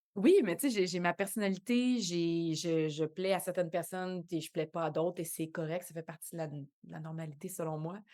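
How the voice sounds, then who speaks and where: On a very clean recording with a silent background, a woman with a fairly low pitch and a dark, mellow tone speaks with big swings in loudness and hardly any pauses. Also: ordinary pitch variation, fairly quick pace. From Quebec, Montreal shore. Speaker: actress and dancer. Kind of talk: podcast interview. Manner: hesitant, many fillers.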